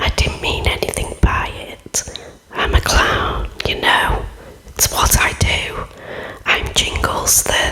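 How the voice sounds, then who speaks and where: Whispering in a put-on character voice, a man speaks at a fairly slow pace. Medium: read story.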